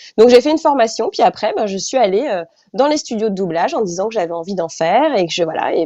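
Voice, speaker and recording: A woman speaks at a medium pitch with lively intonation. Her pace is very fast. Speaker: actress and voice dubber. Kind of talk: interview. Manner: halting.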